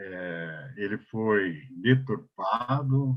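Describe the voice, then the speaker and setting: A man speaks with lively intonation. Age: 70s. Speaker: elderly rights council advocate, panelist. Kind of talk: webinar panel talk. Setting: online webinar. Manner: halting, many fillers and restarts.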